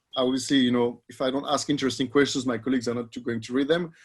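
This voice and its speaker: Speaking with a French accent, a man of medium pitch keeps his intonation fairly even. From France. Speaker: economics professor, researcher. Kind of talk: panel discussion answer. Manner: halting, many repetitions and fillers.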